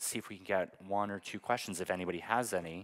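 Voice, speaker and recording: With an American accent, this man talks at a fairly quick pace in a fairly low pitch, an ordinary speaking voice. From United States. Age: 30s. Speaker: panel moderator. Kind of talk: panel discussion. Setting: stage with audience. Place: hall. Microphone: handheld.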